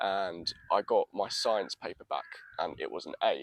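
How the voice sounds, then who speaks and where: This man talks with a London accent. The sound is dry and close, with no echo. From North London, England. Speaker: TikTok creator, blind footballer. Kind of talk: podcast interview. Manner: articulate.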